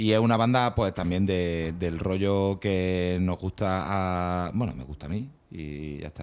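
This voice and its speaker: A man is speaking. His pace is fairly slow. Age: 40s. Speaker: radio co-host presenting music. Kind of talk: casual radio chat.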